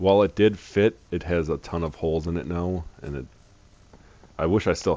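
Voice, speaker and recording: A man with a very deep, low pitch and vocal fry speaks with ordinary pitch variation. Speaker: gaming stream guest. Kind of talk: casual chat.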